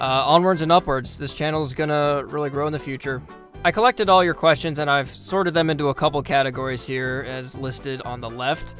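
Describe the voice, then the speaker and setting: Music plays in the background while the speaker goes at a very fast pace with fairly even intonation. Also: man. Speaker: hockey history YouTuber. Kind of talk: casual Q&A talk to camera.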